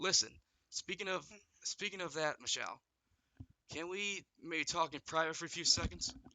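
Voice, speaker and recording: A man does a raspy put-on character voice, high in pitch with ordinary pitch variation. He keeps a moderate pace broken by long, frequent pauses. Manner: serious.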